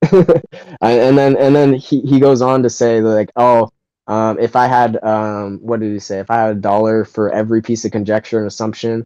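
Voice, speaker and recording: A man with a dark, mellow tone and medium pitch talks at a moderate pace with fairly even intonation, recorded dry and close with no echo. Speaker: podcast co-host. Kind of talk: casual debate discussion.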